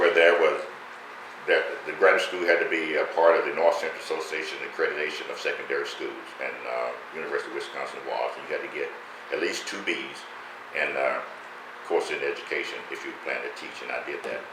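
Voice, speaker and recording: A man speaks at a fairly quick pace with an American accent, his loudness swinging widely. Noticeable background noise and audible room echo surround him. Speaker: retired educator and former local politician. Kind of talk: interview.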